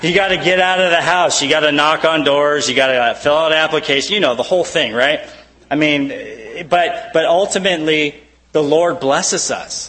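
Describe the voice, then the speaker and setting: With noticeable background noise behind him, a man speaks at a moderate pace and fairly high pitch, with ordinary pitch variation and very even loudness. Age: 30s. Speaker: preacher. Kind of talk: sermon.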